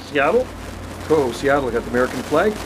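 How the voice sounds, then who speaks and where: A man rattles off his words very fast while noticeable noise hums behind him. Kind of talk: casual vlog chat. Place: waterside. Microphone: phone near.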